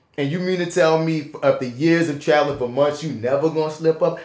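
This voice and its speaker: A man with a New Orleans accent and a fairly high pitch. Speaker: podcast host and actor. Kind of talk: casual chat. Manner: fast talker.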